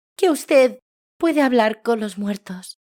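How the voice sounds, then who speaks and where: A soft-spoken, put-on character voice with a fairly high pitch. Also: fairly slow pace. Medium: read story. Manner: timid, hesitant.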